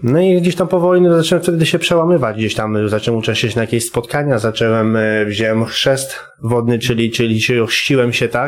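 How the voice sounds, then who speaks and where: Against noticeable background noise, a man at a medium pitch speaks fairly quickly with lively intonation, very even loudness and hardly any pauses. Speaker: former prisoner and recovering addict sharing a conversion story. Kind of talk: testimony. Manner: halting, with many repetitions.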